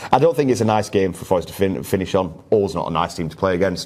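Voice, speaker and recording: With a Yorkshire accent, a man talks at a very fast pace. His very deep, low voice is dark and mellow, with ordinary pitch variation. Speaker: football podcast host. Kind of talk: casual chat.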